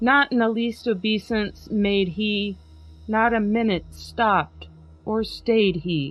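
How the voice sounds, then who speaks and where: Very slow pace with ordinary pitch variation. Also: woman, medium pitch for a woman. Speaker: podcast host. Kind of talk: dramatic poetry reading.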